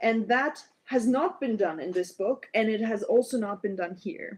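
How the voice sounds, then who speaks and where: A woman's fairly high voice with lively intonation and a non-native accent. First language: not English. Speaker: biologist livestreamer. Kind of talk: live stream reading with commentary. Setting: live stream at laptop. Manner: halting, many fillers.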